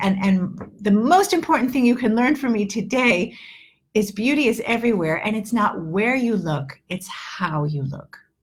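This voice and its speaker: A woman's somewhat breathy, medium-pitched voice in an American accent, with very wide pitch swings. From New York. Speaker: English teacher. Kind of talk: live online lesson. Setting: livestream. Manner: animated.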